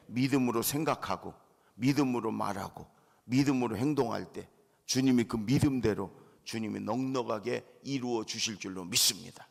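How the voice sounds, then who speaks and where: At a moderate pace and medium pitch, a man with an unremarkable speaking voice shows ordinary pitch variation. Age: 60s. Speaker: pastor. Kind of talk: sermon. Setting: church.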